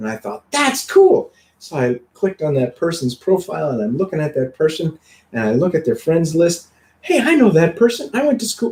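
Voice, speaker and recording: At a moderate pace, a man speaks in a high voice with very wide pitch swings. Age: 40s. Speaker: health and wellness show host, clinic doctor. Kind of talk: casual chat.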